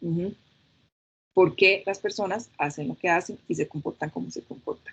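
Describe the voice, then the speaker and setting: This is a woman with an ordinary speaking voice at medium pitch. She keeps a moderate pace with ordinary pitch variation. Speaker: anthropologist and UX researcher. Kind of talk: talk.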